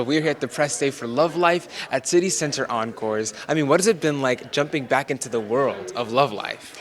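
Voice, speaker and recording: Barely pausing at all, a man with a fairly high pitch speaks at a fairly quick pace over noticeable background noise. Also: ordinary pitch variation. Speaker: interviewer. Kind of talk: interview questions.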